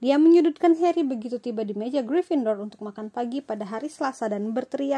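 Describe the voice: Fairly high-pitched yet dark and mellow in tone, a woman's voice moves at a fairly quick pace. Her intonation is lively.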